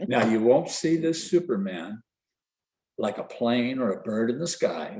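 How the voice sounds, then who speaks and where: This man has a dark, mellow tone at a medium pitch, speaking at a fairly slow pace with very wide pitch swings. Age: 70s. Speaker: kidney transplant recipient and peer mentor. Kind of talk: personal testimony on a webinar. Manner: storytelling, conversational.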